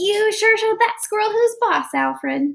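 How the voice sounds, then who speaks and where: Putting on a squeaky character voice, a woman speaks at an extremely high pitch. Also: moderate pace. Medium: read story.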